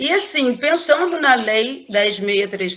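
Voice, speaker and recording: A woman speaks over noticeable background noise. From Brazil, Angra dos Reis. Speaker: schoolteacher. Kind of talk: online talk / panel presentation.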